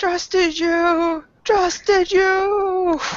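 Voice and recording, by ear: A squeaky, put-on character voice at an extremely high pitch, delivered in a flat, monotone intonation.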